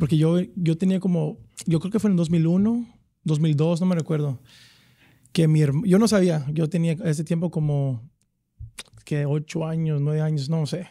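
A man's fairly high voice with a dark, mellow tone and ordinary pitch variation, at a moderate pace with long, frequent pauses, in a dry sound with no echo and a quiet background. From Dallas, Texas; Texas. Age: 30s. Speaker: professional soccer player; guest. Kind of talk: casual chat. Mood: relaxed, reminiscing. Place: studio. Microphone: studio mic.

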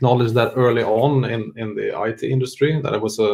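In a quiet background, a man talks at a fairly quick pace with fairly even intonation. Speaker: webinar presenter. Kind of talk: presentation. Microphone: video call.

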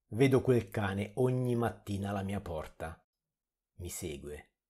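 Somewhat breathy and dark, mellow in tone, a man's fairly low-pitched voice moves at a fairly slow pace with lively intonation. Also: very clean recording, silent background. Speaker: horror story narrator. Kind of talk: horror story narration, reading creepypasta.

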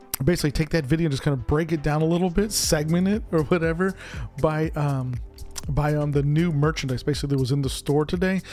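Faint music sits in the background as a man talks at a fairly quick pace with ordinary pitch variation. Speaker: merchandise vlogger. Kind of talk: casual vlog chat. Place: home room. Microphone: studio mic.

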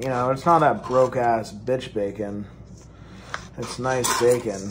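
A man at a fairly slow pace, fairly even intonation, noticeable background noise. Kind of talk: casual cooking tutorial chat. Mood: relaxed, joking. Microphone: phone near.

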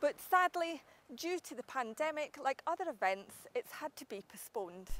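The sound is dry, with no echo. A woman speaks with very wide pitch swings. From Scotland. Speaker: TV presenter. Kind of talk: TV report. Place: street.

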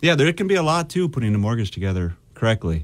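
A man's very fast speech with lively intonation. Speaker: mortgage lender; guest. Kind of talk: interview. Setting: studio. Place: studio.

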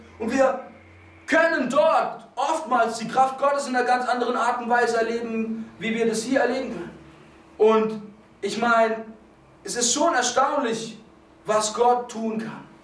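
An animated man speaks at a fairly slow pace with an extremely high pitch, ordinary pitch variation, long, frequent pauses, and audible room echo. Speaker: preacher. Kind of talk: sermon. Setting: church. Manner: animated, fervent preaching; restless, moves around while speaking. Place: church.

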